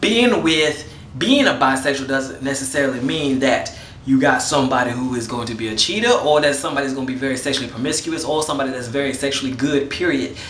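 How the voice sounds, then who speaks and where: A man with a medium-pitched voice talks at a very fast pace over noticeable background noise, with audible room echo. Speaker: vlogger. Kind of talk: casual video response monologue.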